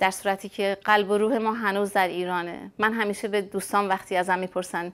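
Woman's voice, monotone with flat intonation, at a moderate pace. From Iran, Urmia (West Azerbaijan); West Azerbaijan, Iran. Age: 50s. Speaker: Baha'i emigrant interviewee; interviewee. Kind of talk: personal testimony interview. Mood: reflective, sometimes sad memories. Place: home room. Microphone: lapel.

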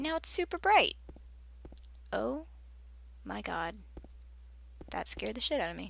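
The delivery holds a moderate pace but breaks up with long, frequent pauses. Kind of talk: let's play commentary. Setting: home recording with microphone. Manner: soft-spoken.

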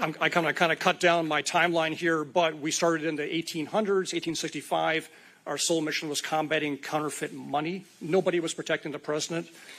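A man's fairly high, bright, sharp voice in a fairly quick, monotone, flat delivery. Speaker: Secret Service special agent, cybersecurity presenter. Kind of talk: public presentation at a city meeting. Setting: city commission meeting at podium. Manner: fast; casual, joking.

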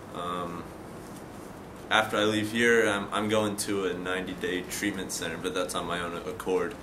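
Over noticeable background noise, a man with a very deep, low pitch talks at a moderate pace in a monotone, flat intonation. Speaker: patient in addiction treatment. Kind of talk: testimony. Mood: calm, reflective, subdued. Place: garden. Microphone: camera far.

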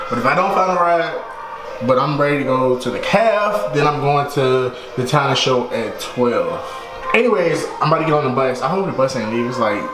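A man speaks at a moderate pace with hardly any pauses. Clear music plays in the background. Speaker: student vlogger. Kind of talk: casual vlog chat. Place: home room. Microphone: phone near.

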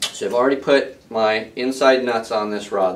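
This is a man's voice. He speaks at a fairly slow pace. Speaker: equipment demonstrator. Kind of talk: tutorial. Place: workshop.

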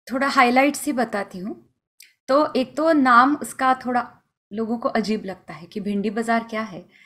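With a bright, sharp tone, a woman speaks fairly slowly at a fairly high pitch, her loudness swinging widely. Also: ordinary pitch variation. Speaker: Hindustani classical vocalist; guest. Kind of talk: interview. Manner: halting, many fillers. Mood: warm, reflective. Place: home room. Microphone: video call.

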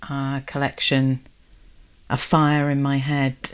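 A woman's very deep, low voice in a monotone, flat delivery. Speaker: podcast host. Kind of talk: casual chat. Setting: video call.

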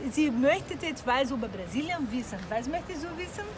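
A woman with a Brazilian accent over light background noise. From Brazil, Rio de Janeiro. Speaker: YouTuber. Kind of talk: casual chat. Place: street. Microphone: phone near.

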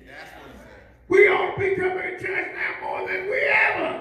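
In a raised, projected voice, a man speaks at extremely high pitch and a moderate pace, with audible room echo. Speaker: pastor; preacher. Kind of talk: sermon. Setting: church. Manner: repetitive, emphatic bursts with constant amens and yeahs; rousing, exhorting the congregation to respond. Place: church.

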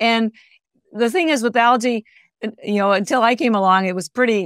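A woman speaks at a medium pitch with ordinary pitch variation, in a dry, close sound with no echo.

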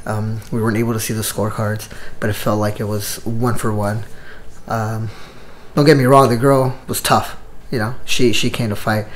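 A man speaks at a moderate pace with a medium pitch. His intonation is monotone and flat. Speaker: Muay Thai coach and vlogger. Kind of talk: casual travel vlog to camera. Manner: halting, many fillers.

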